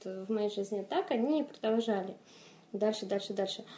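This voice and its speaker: A woman speaks at a moderate pace in a fairly high pitch, with noticeable background noise. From Moldova, Chisinau. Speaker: fantasy author. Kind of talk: interview.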